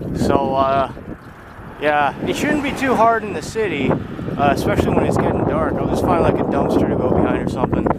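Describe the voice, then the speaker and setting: A man talks at a fairly quick pace with a fairly high pitch and lively intonation. Audible room echo and noticeable background noise are present. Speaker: cycle touring vlogger. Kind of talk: casual vlog monologue. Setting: outdoors, camping in tent. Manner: hesitant, many fillers.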